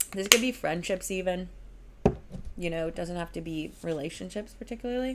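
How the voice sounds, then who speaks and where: A woman talks at a fairly quick pace and a fairly low pitch, with ordinary pitch variation. Background noise is noticeable. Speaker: tarot reader. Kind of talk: tarot reading monologue. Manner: casual, filler-heavy.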